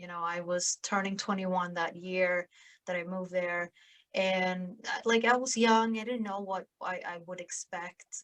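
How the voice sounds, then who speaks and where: A woman's voice with a Swedish accent, at a moderate pace and in fairly even intonation, in a dry, close sound with no echo. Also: medium pitch for a woman. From southern Sweden, small town. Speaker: podcast host and sales influencer. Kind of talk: interview conversation.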